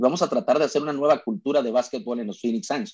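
A man speaks at a fairly high pitch in a dark, mellow tone. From Mexico, Sonora (Cananea). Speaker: basketball play-by-play announcer. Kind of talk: casual interview chat.

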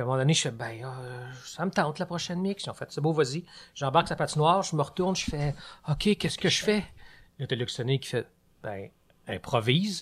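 A man with a fairly high pitch and a somewhat breathy voice, very fast pace broken by long, frequent pauses, lively intonation, and a very clean recording with a silent background. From Quebec, Laurentides. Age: 40s. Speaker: storyteller. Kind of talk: casual chat.

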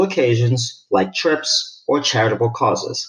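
A man speaks in a plain, everyday voice at a medium pitch. His intonation is lively. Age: 40s. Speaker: retired military, listener asking a question. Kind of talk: recorded voicemail question.

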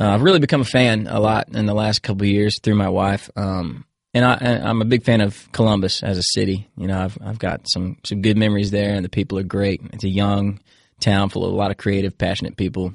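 Against a quiet background, a man with an American accent talks at a fairly quick pace in a fairly low pitch. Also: dry, close sound with no echo. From Virginia. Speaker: country singer. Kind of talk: casual chat. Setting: studio. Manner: animated.

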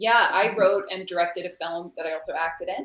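A woman's normal speaking voice with a Canadian accent, medium pitch, ordinary pitch variation and a moderate pace. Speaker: actress and filmmaker. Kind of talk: casual chat.

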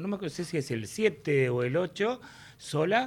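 The voice moves at a very slow pace with lively intonation. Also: man. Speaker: radio host. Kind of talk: radio interview. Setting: radio studio.

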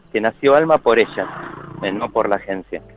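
Music plays in the background. A man speaks at a fairly quick pace with ordinary pitch variation. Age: 40s. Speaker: parent via surrogacy. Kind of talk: interview.

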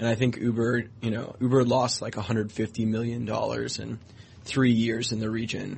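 Monotone, flat intonation from a man at a moderate pace, his medium-pitched voice somewhat breathy. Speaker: tech reporter. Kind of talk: radio business interview. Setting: studio.

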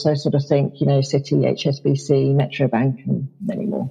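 A woman with a southern English accent, at a moderate pace. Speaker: marketing executive. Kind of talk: casual interview.

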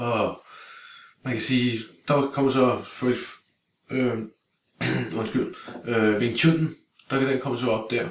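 A man speaks at a medium pitch with fairly even intonation. His pace is very slow, with long, frequent pauses. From Denmark, Greve (Copenhagen area). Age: 40s. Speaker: martial arts instructor. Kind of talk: casual interview. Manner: halting, many fillers and repeated words.

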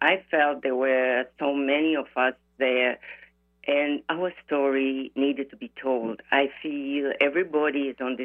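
With fairly even intonation, the woman speaks at a very deep, low pitch. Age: 70s. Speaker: author and dance fitness creator. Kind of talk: interview, storytelling memoir.

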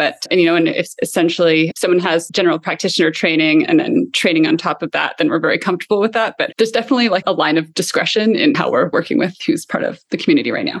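Hardly pausing, a woman speaks at a very fast pace and medium pitch, with very wide pitch swings. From Canada. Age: 30s. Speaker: health tech entrepreneur. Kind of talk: interview.

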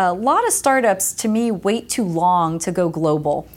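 Speaking in an ordinary speaking voice with an American accent, a woman uses lively intonation at a medium pitch and a fairly slow pace. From US Northeast (New Jersey). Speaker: tech company executive. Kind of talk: interview.

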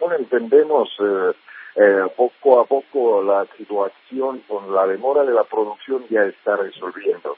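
A man in a Russian accent at a fairly slow pace. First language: Russian (speaking Spanish). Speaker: news agency journalist. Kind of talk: interview. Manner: halting.

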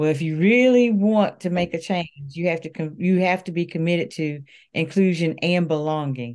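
At a moderate pace, a woman speaks in an unremarkable speaking voice at fairly low pitch with ordinary pitch variation against a quiet background. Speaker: education author. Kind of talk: interview discussion.

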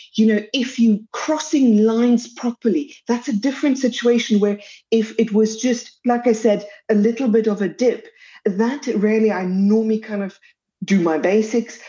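Speaking with a South African accent, a woman uses a fairly high, somewhat breathy voice with a dark, mellow tone, ordinary pitch variation and a moderate pace. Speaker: pediatric dietitian. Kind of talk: interview.

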